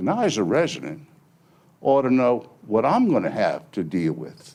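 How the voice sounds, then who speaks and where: A man speaks with vocal fry at a medium pitch. The background is quiet. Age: 70s. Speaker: resident speaking at public comment. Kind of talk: public comment at county board meeting. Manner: emphatic, pleading.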